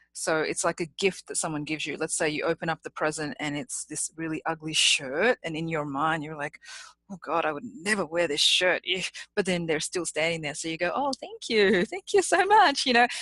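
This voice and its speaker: In an Australian accent, a woman with a fairly low pitch and a bright, sharp tone speaks at a fairly quick pace with lively intonation, recorded dry and close without echo. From Australia, Sydney. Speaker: public speaking champion. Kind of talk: interview.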